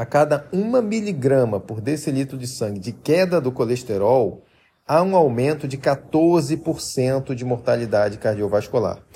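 A man with a fairly high pitch and a dark, mellow, somewhat breathy tone speaks at a fairly slow pace with lively intonation, in a very clean recording with a silent background. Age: 30s. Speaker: health podcaster. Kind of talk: persuasive monologue.

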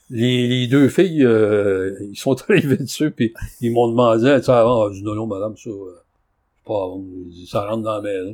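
In a very clean recording with a silent background, a man with an unremarkable speaking voice talks at a fairly slow pace, at medium pitch with ordinary pitch variation and big swings in loudness. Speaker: antique dealer. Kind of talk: casual chat.

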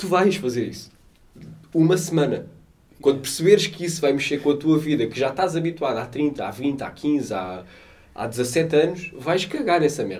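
A man with a fairly high voice and vocal fry speaks at a moderate pace. His intonation is lively. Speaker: podcast co-host. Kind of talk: casual chat.

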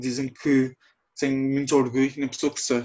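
The voice belongs to a man. Its pitch is medium. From Azores, São Miguel. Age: 20s. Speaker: podcast guest. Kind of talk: personal testimony.

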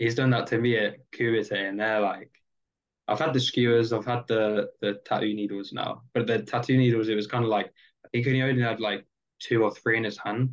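Speaking at a moderate pace, a man keeps his medium pitch in a monotone, flat intonation. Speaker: professional wrestler. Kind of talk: casual chat.

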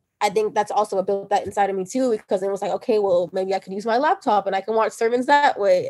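This woman speaks very fast at a medium pitch. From Nigerian family. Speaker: podcast guest sharing faith story. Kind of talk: casual chat.

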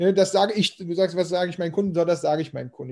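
A man with a high-pitched voice talks over a quiet background. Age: 40s. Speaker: growth marketing consultant. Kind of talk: casual interview.

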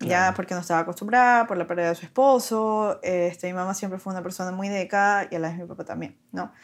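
Speaking at a very fast pace with fairly even intonation, a woman at a medium pitch shows big swings in loudness on a very clean recording with a silent background. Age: 30s. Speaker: lawyer and young mother. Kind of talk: casual interview chat.

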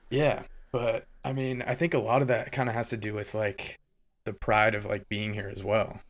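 A man with an American accent speaks in a plain, everyday voice at a medium pitch and moderate pace. His pitch variation is ordinary, and the recording is very clean with a silent background. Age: 20s. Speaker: advertising worker and hobby music producer. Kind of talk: casual chat. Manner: casual, heavy use of filler words.

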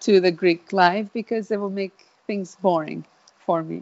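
Her voice sits at a medium pitch with ordinary pitch variation. The woman keeps a moderate pace. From Italy. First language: Italian. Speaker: interviewee, immigrant. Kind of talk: interview. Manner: hesitant with fillers.

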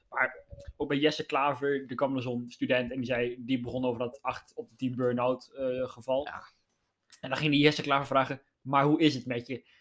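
A man's medium-pitched voice at a moderate pace, in a monotone with flat intonation. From Netherlands, Gelderland (Zevenaar area). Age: young. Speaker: podcast host. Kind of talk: casual chat. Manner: halting.

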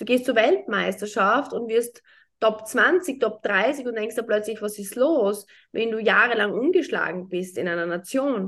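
A woman with an unremarkable speaking voice and a fairly high pitch talks at a fairly slow pace. Her intonation is lively, and the background is quiet. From Austria, small town. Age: 30s. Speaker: entrepreneur and former pro golfer. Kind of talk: casual interview chat.

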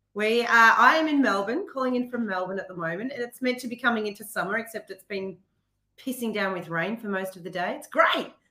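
A woman with an Australian accent speaks at a fairly quick pace and fairly high pitch, her bright, sharp tone marked by lively intonation and big swings in loudness. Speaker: business owner. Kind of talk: interview. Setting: remote call.

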